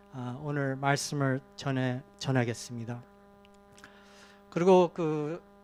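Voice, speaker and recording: There is noticeable background noise behind the speaker. A man talks at a fairly slow pace. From Korea, emigrated to Canada in elementary school. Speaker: guest preacher. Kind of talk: sermon. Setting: church. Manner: halting, many fillers.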